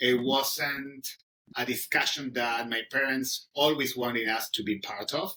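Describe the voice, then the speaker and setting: A man speaks at a medium pitch with a bright, sharp tone. His intonation stays fairly even, and his pace is fairly slow. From Argentina. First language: Spanish. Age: 30s. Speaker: English teacher. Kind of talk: interview. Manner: halting, many fillers.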